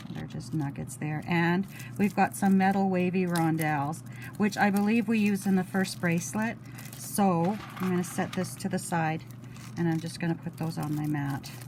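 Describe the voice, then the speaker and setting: Amid noticeable background noise, a woman talks at a moderate pace with ordinary pitch variation. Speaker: beading hobbyist vlogger. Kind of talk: crafting tutorial. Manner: casual, hesitant.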